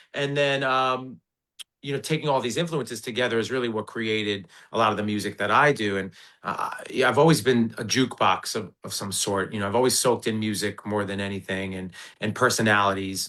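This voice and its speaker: Fairly low in pitch yet bright and sharp in tone, a man with an American accent talks at a fairly quick pace with ordinary pitch variation. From New Jersey, Brick. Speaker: singer and stage performer. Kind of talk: casual interview.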